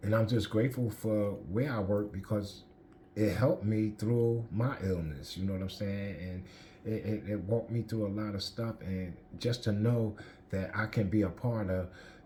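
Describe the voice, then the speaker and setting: With an American accent, a man speaks at a moderate pace in a fairly low, somewhat breathy voice of dark, mellow tone and fairly even intonation. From Newark, New Jersey. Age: 50s. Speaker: person in addiction recovery. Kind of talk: testimony. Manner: halting.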